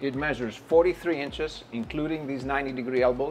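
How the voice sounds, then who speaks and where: Faint music plays in the background while a man talks. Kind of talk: interview answer, product demo. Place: shop. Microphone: lapel.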